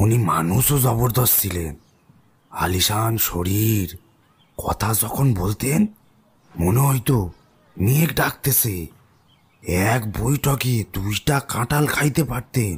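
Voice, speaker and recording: A man puts on a character voice at a medium pitch, speaking very slowly. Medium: audio drama. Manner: rustic, deferential to "sir".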